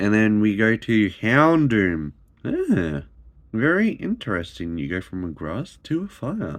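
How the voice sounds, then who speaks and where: A man with an Australian accent, fairly low in pitch, with very wide pitch swings and a fairly slow pace, against a quiet background. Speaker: YouTuber opening trading card packs. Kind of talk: casual pack-opening commentary. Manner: animated; occasional stumbles.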